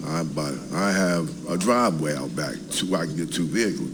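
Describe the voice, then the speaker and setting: In an American accent, a man talks at a moderate pace with lively intonation, against noticeable background noise and audible room echo. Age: 70s. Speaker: Vietnam veteran, resident speaking at public comment. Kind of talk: public comment at city council meeting. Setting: city council meeting. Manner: halting, many fillers.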